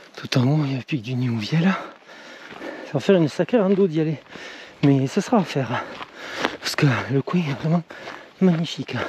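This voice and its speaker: Through noticeable background noise, a man talks at a fairly high pitch and fairly quick pace with lively intonation and long, frequent pauses. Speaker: hiking vlogger. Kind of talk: outdoor vlog narration. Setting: outdoors in the mountains. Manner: whispering.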